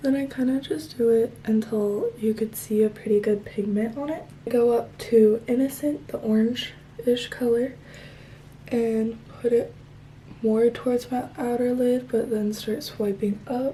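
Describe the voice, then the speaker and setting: Against noticeable background noise, a woman talks in a fairly high pitch. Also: ordinary pitch variation, fairly slow pace. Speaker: beauty vlogger. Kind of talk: tutorial. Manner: soft-spoken.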